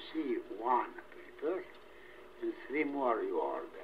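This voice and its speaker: Behind noticeable background noise, a man talks at a very slow pace. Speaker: spiritual teacher. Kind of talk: casual conversation while being recorded. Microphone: old recording.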